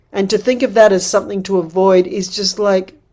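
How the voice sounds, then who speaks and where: Here a woman uses a normal speaking voice at a medium pitch. Her pace is moderate. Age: 60s. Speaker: midwife and women's wisdom teacher. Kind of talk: workshop talk.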